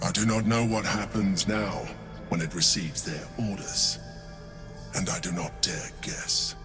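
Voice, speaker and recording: With loud music in the background, a man uses a put-on character voice with a very deep, low pitch at a moderate pace. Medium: game stream. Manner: measured, formal, composed.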